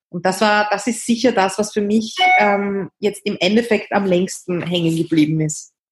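A woman speaks in a Viennese accent at medium pitch. Her pace is moderate and her intonation fairly even. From Austria, Vienna. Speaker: author and activist. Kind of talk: interview. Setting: remote call from bed.

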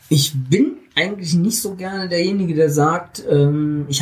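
A man's somewhat breathy voice. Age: 50s. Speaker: self-employed publishing technology consultant. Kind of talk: interview. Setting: recorded on a hiking trip.

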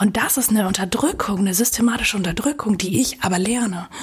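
A woman with a fairly high pitch and ordinary pitch variation talks over noticeable background noise. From Germany, Münster. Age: 20s. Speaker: blogger and inclusion activist. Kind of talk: interview conversation. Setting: hotel room.

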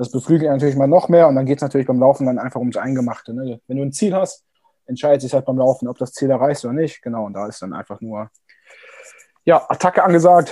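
A man's medium-pitched voice, dark and mellow in tone, rushes at a very fast pace with big swings in loudness. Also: ordinary pitch variation. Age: 20s. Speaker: amateur triathlete and sports student. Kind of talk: casual interview.

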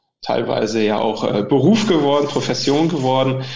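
At a fairly slow pace, a man of medium pitch speaks with ordinary pitch variation. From Mecklenburg, near Schwerin, Germany. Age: 40s. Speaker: football referee (VAR). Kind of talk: interview. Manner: halting, many fillers and repetitions.

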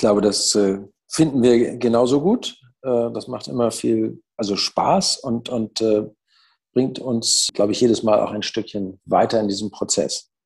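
Speaking at a fairly slow pace, a man leaves long, frequent pauses. His pitch is medium. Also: ordinary pitch variation. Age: 60s. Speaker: business owner and managing director. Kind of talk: interview. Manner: hesitant, many fillers.

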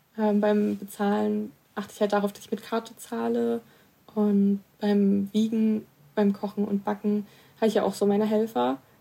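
Her tone is dark and mellow. This woman's intonation stays monotone and flat. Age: 20s. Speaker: person with dyscalculia, youth group spokesperson. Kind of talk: personal testimony.

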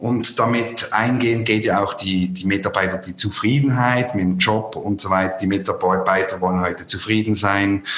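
There is noticeable background noise as a man with a fairly low pitch talks with fairly even intonation and hardly any pauses. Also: moderate pace. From Switzerland. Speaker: podcast host. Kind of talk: interview. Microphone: poor sound quality.

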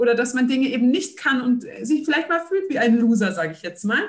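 Energetic and quick, a woman with a high pitch talks at a fairly fast clip with lively intonation. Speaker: social entrepreneur. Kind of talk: interview.

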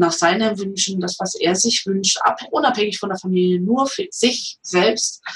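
Speaking at a moderate pace, a woman of medium pitch shows ordinary pitch variation in a plain, everyday voice. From eastern Germany. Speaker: comedian and massage therapist. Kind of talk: interview.

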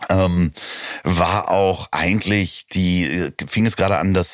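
The man's very deep, low voice keeps a fairly even intonation, and the sound is dry and close with no echo. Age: 40s. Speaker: podcast host and producer. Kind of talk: casual chat. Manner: hesitant, many fillers.

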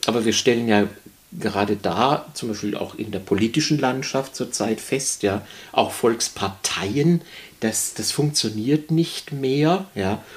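A man speaks very slowly at a medium pitch. His intonation is lively. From Baden, near Bruchsal (southwest Germany). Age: 60s. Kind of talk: interview. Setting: studio.

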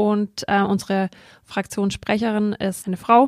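On a very clean recording with a silent background, a woman of medium pitch speaks at a very slow pace. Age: 20s. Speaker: local councillor and student. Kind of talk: interview. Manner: hesitant with fillers.

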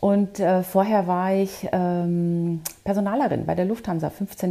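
Pitched fairly low, a woman speaks in a dark, mellow tone with monotone, flat intonation. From Bavaria. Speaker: career coach. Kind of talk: interview.

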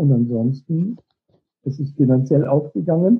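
His intonation is lively. This man's voice is fairly high in pitch. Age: 40s. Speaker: motivational coach and author. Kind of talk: interview.

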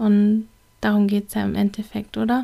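A woman's somewhat breathy voice with a dark, mellow tone comes through in a very clean recording with a silent background. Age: 30s. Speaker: podcast host, self-development coach. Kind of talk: solo podcast monologue.

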